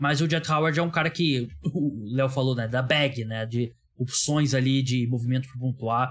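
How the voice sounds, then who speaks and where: The man's voice is somewhat breathy. His pitch lands in the middle range. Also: moderate pace. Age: 30s. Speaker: podcast host. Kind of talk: casual chat.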